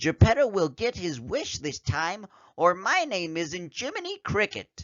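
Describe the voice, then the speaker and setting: A man puts on a character voice, pitched high. His pace is moderate. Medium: read story.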